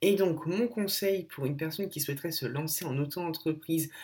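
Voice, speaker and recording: A man speaks with an ordinary speaking voice. His pitch varies in an ordinary way. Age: 20s. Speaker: blogger and content creator. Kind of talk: recorded advice message.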